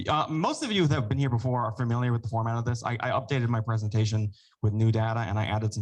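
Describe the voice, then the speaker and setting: The man talks very fast at medium pitch, with fairly even intonation. His voice is somewhat breathy. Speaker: epidemiologist presenting data. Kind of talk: presentation at council meeting.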